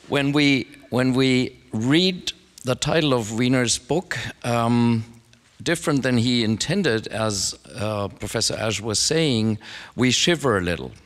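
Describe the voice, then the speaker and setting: A man with a German accent talks at a fairly slow pace. His voice sits at a medium pitch with ordinary variation. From Germany, Frankfurt. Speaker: philosophy professor. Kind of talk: academic talk.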